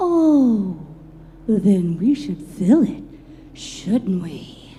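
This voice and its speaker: A put-on character voice, female-sounding and medium in pitch, at a very slow pace, with clear background noise. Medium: audio drama. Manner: sing-song, giggly.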